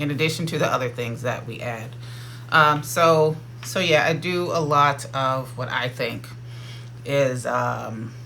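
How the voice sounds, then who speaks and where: Medium-pitched man with fairly even intonation amid audible room echo and noticeable background noise. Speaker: dietitian. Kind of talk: casual talk to camera. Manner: fast.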